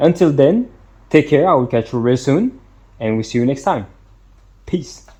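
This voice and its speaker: A man's somewhat breathy, dark, mellow voice, fairly high, with lively intonation at a moderate pace and long, frequent pauses. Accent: French. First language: French. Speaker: product reviewer. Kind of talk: product review. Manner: halting, many fillers and repetitions.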